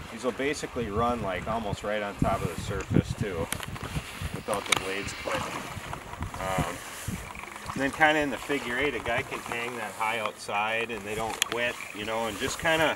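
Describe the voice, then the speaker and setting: Loud background noise fills the recording. A man speaks at a moderate pace with long, frequent pauses. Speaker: fishing guide. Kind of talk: tutorial. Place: waterside.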